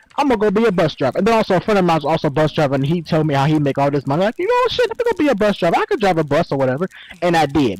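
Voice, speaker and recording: A high-pitched man talking very fast, with a dry, close sound and no echo, over noticeable background noise. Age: 20s. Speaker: city bus driver. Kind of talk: casual chat. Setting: online talk show in a virtual world.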